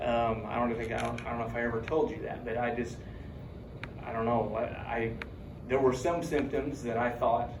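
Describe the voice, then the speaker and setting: Fairly even intonation from a man, with noticeable background noise behind him. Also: medium pitch for a man, moderate pace. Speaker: university instructor. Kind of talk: casual classroom talk.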